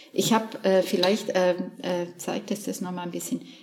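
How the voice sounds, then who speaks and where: With noticeable noise in the background, a woman's medium-pitched voice keeps a fairly even intonation. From southern Germany. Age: 60s. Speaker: painter. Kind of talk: casual interview. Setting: artist's studio. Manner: hesitant, many fillers.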